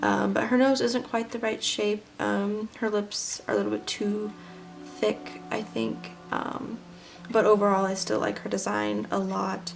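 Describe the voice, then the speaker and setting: Against music in the background, a woman speaks at a fairly slow pace. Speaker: artist. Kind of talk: casual voice-over of sketchbook flip-through. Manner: hesitant, many filler words.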